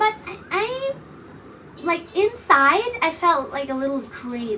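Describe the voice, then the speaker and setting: Noticeable background noise sits behind a woman speaking in a raised, projected voice at a fairly slow pace. Her pitch swings very widely. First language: Bengali. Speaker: podcast host and YouTuber. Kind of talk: casual monologue. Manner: rambling, hesitant, many fillers. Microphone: poor audio quality.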